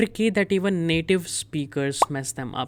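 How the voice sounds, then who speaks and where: A woman with an Indian accent at a moderate pace, ordinary pitch variation, in a very clean recording with a silent background. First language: Hindi. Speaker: German language teacher. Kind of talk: tutorial.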